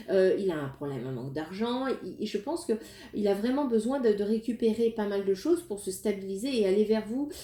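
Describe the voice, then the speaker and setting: With very wide pitch swings, a woman speaks at a fairly high pitch and fairly quick pace in a dark, mellow tone. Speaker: tarot card reader. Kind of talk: tarot reading. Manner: hesitant, many fillers.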